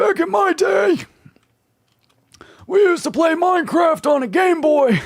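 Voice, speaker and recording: Putting on a character voice at an extremely high pitch, a man talks at a moderate pace with long, frequent pauses. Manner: cranky old man.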